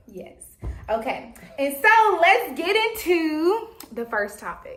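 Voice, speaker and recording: A woman speaks at a very slow pace with an extremely high pitch, her voice swinging very widely in pitch and greatly in loudness. Noticeable background noise runs underneath. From Louisiana, small town. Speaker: podcast co-host. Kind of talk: casual chat. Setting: podcast recorded on camera.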